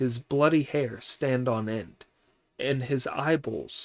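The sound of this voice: The clip has an unforced reading voice with ordinary pitch variation and a quiet background.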